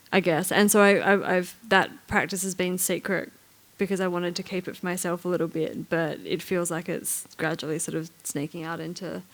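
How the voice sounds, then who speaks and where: This woman speaks with an Australian accent at a fairly low pitch. Her intonation is monotone and flat. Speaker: writer, curator and artist. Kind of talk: on-stage conversation. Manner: fast; halting, many repetitions.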